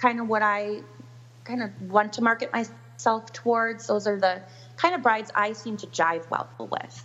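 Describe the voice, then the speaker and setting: A woman speaks with an American accent. Her pitch is fairly high, with ordinary variation. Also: moderate pace. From US Upper Midwest, Milwaukee, Wisconsin. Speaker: wedding planner. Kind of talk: interview.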